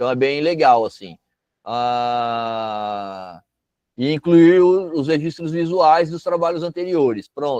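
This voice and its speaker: A man's fairly high voice with lively intonation at a very slow pace. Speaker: cultural project workshop instructor. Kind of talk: online workshop lecture. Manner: casual, conversational.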